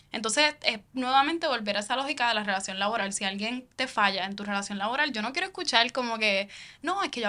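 Bright and sharp in tone, a woman's fairly high voice has lively intonation. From Puerto Rico, Caguas; Puerto Rico. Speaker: founder of independent digital media project; podcast guest, civic organization spokesperson. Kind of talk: interview conversation. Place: studio. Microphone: studio mic.

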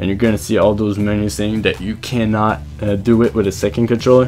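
With music playing in the background, a man speaks in a fairly low voice at a moderate pace. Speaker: gaming video creator. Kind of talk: video game tutorial voiceover.

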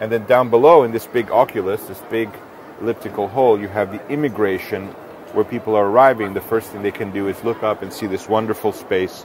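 A man with fairly low pitch speaks in an ordinary speaking voice at a fairly quick pace, his intonation fairly even. The sound is dry with no echo, with light background noise. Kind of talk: explanatory tour talk. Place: hall. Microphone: lapel.

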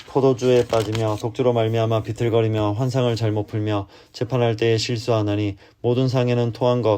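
In a very clean recording with a silent background, a man speaks at a medium pitch in a dark, mellow tone. His delivery is fairly quick and monotone, with flat intonation. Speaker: amateur Bible reader. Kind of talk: bedtime Bible reading. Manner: calm, soothing.

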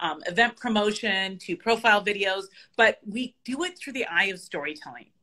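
A woman speaks in a bright, sharp tone with lively intonation against a quiet background. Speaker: remote guest. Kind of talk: interview answer. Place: home room. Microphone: video call.

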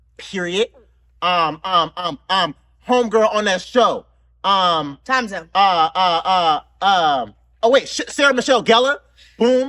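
A man's high, raised, projected voice with lively intonation, at a fairly slow pace with long, frequent pauses. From US South, the Carolinas. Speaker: talk show host and game creator. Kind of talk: casual chat while playing a party game. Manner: animated, frequent laughter.

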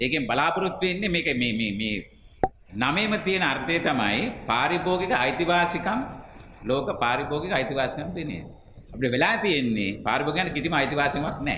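Lively in intonation, a man speaks very slowly at a fairly high pitch. Audible room echo and light background noise fill the recording. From Sri Lanka. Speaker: civil society activist; conference speaker. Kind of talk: press statement. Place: hall. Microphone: podium.

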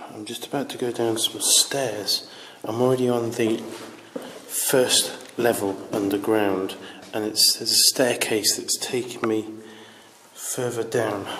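Over light background noise, a man speaks in a monotone, flat intonation at a fairly slow pace with long, frequent pauses. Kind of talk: casual exploration commentary. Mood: slightly nervous, hushed. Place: tunnel cave. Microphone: phone near.

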